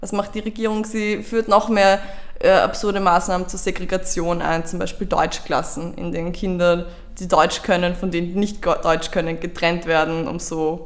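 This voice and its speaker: A woman with a fairly low voice talks at a moderate speed, her pitch varying in an ordinary way, as noticeable background noise and audible room echo fill the recording. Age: 20s. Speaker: youth politician. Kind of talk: interview.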